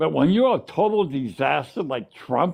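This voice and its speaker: A man's fairly high voice with an American accent and very wide swings in pitch. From Washington State, US Pacific Northwest. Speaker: caller on a political livestream. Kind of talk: casual political chat.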